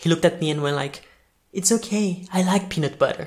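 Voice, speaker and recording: Talking at a fairly quick pace, a man with a Brazilian accent uses a high pitch. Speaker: actor. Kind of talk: audiobook reading.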